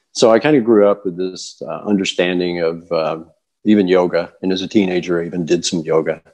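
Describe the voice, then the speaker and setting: With an American accent, a man talks at a fairly quick pace in a very deep, low pitch. The background is quiet. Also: ordinary pitch variation. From Kentucky, US South. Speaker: yoga teacher. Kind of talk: interview. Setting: video call. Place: home room. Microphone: earbuds.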